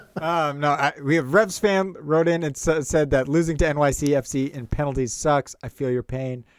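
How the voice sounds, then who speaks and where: Against noticeable background noise, a man speaks at a fairly high pitch and a moderate pace. His pitch variation is ordinary, and he hardly pauses. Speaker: podcast co-host. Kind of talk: casual chat. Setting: cold backyard shed. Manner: energetic, upbeat.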